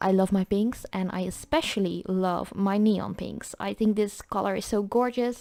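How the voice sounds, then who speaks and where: With a Dutch accent, a woman of medium pitch speaks in a dark, mellow tone with fairly even intonation and hardly any pauses. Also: moderate pace. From Netherlands. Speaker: nail art creator. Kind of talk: tutorial. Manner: casual.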